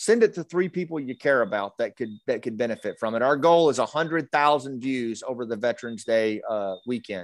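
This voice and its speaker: In an American accent, a man with an unremarkable speaking voice and medium pitch talks at a fairly quick pace with lively intonation and hardly any pauses, on a very clean recording with a silent background and a dry, close sound with no echo. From US South, rural Arkansas. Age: 50s. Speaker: retired special forces officer, storyteller and leadership coach. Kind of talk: interview. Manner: frequent fillers and repetitions.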